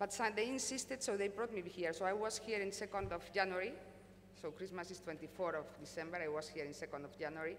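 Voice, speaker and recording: Talking very fast at a medium pitch with ordinary pitch variation, a woman with a Spanish accent is heard amid noticeable background noise and audible room echo. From Spain. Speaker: company executive. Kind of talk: conference panel talk. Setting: stage with audience.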